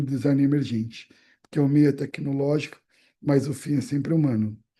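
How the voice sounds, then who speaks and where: A man with a dark, mellow tone against a quiet background. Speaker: brand strategy specialist. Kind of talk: presentation on video call. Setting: video call. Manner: fast.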